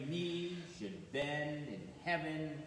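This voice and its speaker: Audible room echo and light background noise surround a man speaking with ordinary pitch variation. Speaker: clergy reader. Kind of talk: scripture reading. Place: church.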